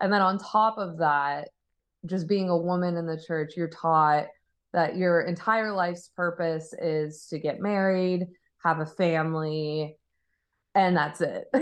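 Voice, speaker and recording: A plain, everyday voice speaks with an American accent. The pace is fairly slow and the intonation fairly even. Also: woman, fairly low pitch for a woman. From Arizona, US. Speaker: musician. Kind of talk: casual chat.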